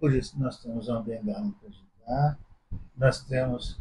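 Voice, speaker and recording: There's a man speaking at a very slow pace, somewhat breathy. His intonation is lively. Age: 70s. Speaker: visually impaired interviewee. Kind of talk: casual interview.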